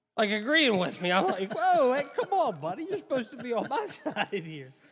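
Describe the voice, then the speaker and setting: Noticeable background noise sits behind a man talking at a fairly quick pace, his extremely high pitch swinging very widely. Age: 30s. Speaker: radio co-host. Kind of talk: casual chat. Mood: amused, telling a funny story. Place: home room. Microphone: studio mic.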